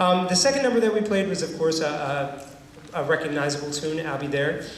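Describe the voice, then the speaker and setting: Ordinary pitch variation with noticeable background noise and audible room echo. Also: man. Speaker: band director. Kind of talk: concert announcement. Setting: stage with audience. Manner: fast.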